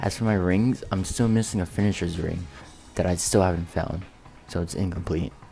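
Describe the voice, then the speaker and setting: With music in the background, a man with a very deep, low pitch talks at a fairly quick pace in fairly even intonation. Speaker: gaming YouTuber. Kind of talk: game build showcase narration.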